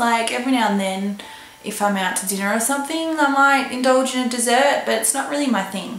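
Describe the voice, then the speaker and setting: A woman with an Australian accent speaks at a fairly high pitch with lively intonation. Both room echo and background noise can be heard. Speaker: vlogger and model. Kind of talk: casual vlog talk.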